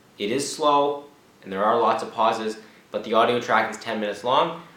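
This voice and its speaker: A man speaks at a fairly quick pace with medium pitch and fairly even intonation. Noticeable background noise and audible room echo fill the recording. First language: not Czech (learning it). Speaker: language learner vlogger. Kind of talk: casual vlog monologue.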